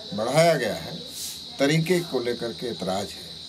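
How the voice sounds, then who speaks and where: A man speaks with lively intonation. Noticeable background noise and audible room echo fill the recording. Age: 60s. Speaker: opposition politician. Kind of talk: interview.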